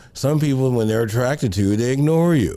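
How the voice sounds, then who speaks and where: A man's dark, mellow voice at a moderate pace, with lively intonation and audible room echo. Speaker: pastor and counseling show host. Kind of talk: advice talk on live show. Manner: conversational, lots of rhetorical right.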